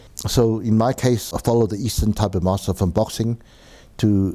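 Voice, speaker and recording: This man speaks fairly quickly in a dark, mellow tone, his pitch fairly low. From South Africa, East Rand (Germiston, Benoni). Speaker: martial arts teacher and author. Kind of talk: interview. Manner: hesitant, many fillers.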